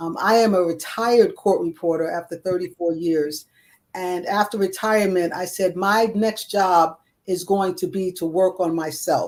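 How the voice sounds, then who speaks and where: A woman of medium pitch with an unremarkable speaking voice, fairly even intonation and a moderate pace. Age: 60s. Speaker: retired court reporter and ordained clergy, wellness coach. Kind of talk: interview conversation.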